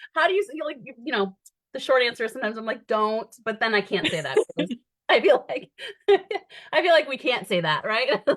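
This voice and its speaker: A high-pitched woman's voice with an American accent, very wide pitch swings, a fairly quick pace and long, frequent pauses. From Michigan, US Midwest. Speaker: costume director and theatre educator. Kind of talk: panel discussion. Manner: fast.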